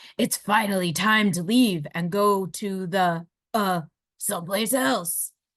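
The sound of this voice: In a booming put-on character voice, a woman speaks at medium pitch and a fairly slow pace.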